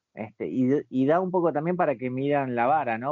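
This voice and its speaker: At a moderate pace, a man talks in a plain, everyday voice with ordinary pitch variation. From Argentina, Buenos Aires. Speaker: bartender. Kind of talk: interview.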